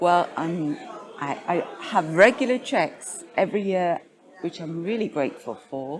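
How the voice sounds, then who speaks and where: A woman's fairly low voice in a British accent, with very wide pitch swings and noticeable background noise. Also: fairly slow pace. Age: 60s. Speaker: patient advocate. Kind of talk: interview. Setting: conference.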